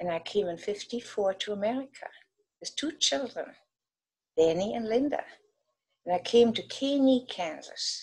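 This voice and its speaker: With a German accent, a woman speaks in a somewhat breathy, fairly high voice, her intonation lively, at a moderate pace broken by long, frequent pauses. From Germany, West Berlin. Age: 80s+. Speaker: war-era childhood witness. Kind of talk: personal testimony.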